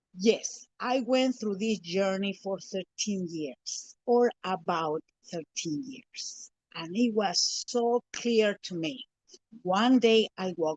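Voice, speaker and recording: Someone with a Spanish accent speaks at a very slow pace with lively intonation. The sound is dry and close, with no echo. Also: woman, medium pitch for a woman, big swings in loudness. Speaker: spiritual teacher. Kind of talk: interview. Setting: live stream.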